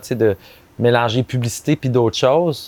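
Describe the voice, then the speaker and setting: The sound is dry and close, with no echo. A man talks at a fairly slow pace and medium pitch, with ordinary pitch variation. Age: 30s. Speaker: advertising copywriter. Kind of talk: casual chat. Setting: outdoors.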